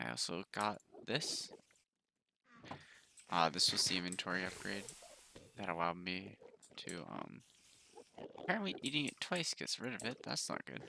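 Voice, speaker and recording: A man's very deep, low voice with vocal fry and a bright, sharp tone, very wide pitch swings, a moderate pace and long, frequent pauses. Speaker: gaming video creator. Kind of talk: let's play commentary. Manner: low-energy.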